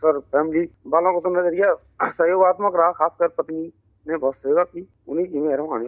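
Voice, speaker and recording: A man's high voice with fairly even intonation. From Sambhal district, Uttar Pradesh, India. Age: 40s. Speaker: schoolteacher, COVID survivor. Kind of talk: interview testimony. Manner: halting.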